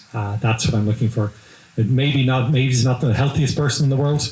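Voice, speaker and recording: A man with an Irish accent at a very fast pace, fairly even intonation, and noticeable background noise. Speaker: business executive. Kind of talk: interview. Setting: live event.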